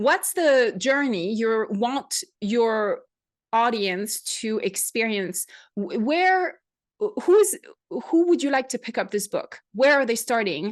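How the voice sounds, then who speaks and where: A woman with a French accent, a fairly high pitch and very wide pitch swings, at a very slow pace against a quiet background. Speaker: podcast host. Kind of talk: interview.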